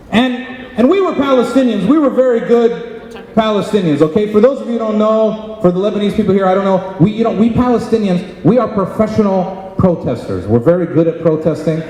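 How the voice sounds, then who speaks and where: A man with a Philadelphia accent speaks at a high pitch and a fairly quick pace with ordinary pitch variation. Audible room echo and noticeable background noise surround him. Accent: American, Philadelphia. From Philadelphia, Pennsylvania, US. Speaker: comedian. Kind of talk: stand-up. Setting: stage with audience.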